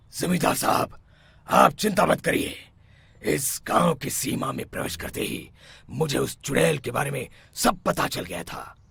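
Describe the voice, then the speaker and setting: Doing a cartoonish character voice, a raspy man speaks at a fairly high pitch and a moderate pace, with very wide pitch swings. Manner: authoritative, assured.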